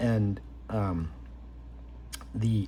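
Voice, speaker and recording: His fairly low voice is dark, mellow and somewhat breathy, with very wide pitch swings. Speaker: card collector YouTuber. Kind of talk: casual unboxing commentary. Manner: hesitant, many fillers; slow, deliberate.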